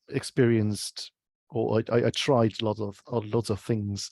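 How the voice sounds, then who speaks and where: In a very clean recording with a silent background, a man with a German accent speaks at a fairly low pitch and a moderate pace, his intonation monotone and flat, the sound dry and close with no echo. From Germany. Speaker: UX researcher. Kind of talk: interview. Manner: halting.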